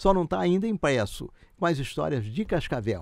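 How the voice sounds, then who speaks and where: This man's voice sits fairly high and swings very widely in pitch. The sound is dry and close with no echo, and the recording is very clean against a silent background. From Rio de Janeiro state, Brazil (Barra do Piraí). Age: 80s+. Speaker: retired gynecologist and former city councillor. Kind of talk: interview, casual storytelling.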